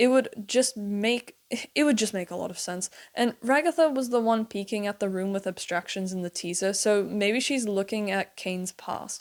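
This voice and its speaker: At a moderate pace and medium pitch, a woman with a plain, everyday voice speaks with ordinary pitch variation. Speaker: video essayist on animated series. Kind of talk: commentary video essay.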